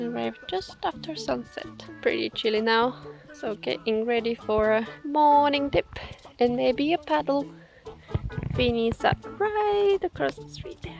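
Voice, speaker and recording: A woman, fairly slow, with long, frequent pauses and big swings in loudness over music in the background. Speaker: van life vlogger. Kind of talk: travel vlog narration.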